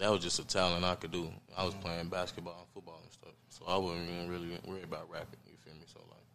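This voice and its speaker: A man's very deep, low voice, very fast and monotone, with hardly any pauses. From Arkansas, Pine Bluff. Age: 20s. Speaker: rapper. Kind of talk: casual chat.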